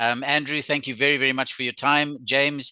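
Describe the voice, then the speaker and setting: A man talks at a fairly quick pace with fairly even intonation and a bright, sharp tone, recorded with a dry, close sound, no echo and a quiet background. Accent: South African. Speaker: webinar host. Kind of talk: webinar presentation. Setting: video call. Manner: hesitant, with filler words.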